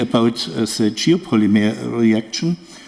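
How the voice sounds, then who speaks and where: A man's speech unfolds at a fairly slow pace. Behind him, background noise is noticeable. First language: German. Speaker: professor. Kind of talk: conference presentation. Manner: halting.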